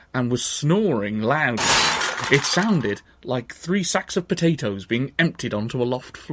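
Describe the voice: The speech is plain reading aloud. Each line is simply read out.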